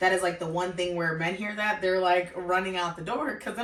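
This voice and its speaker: Over noticeable background noise and audible room echo, a woman speaks at a fairly quick pace in a fairly low pitch with ordinary pitch variation. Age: 20s. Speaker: YouTuber and student. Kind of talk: casual interview. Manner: animated.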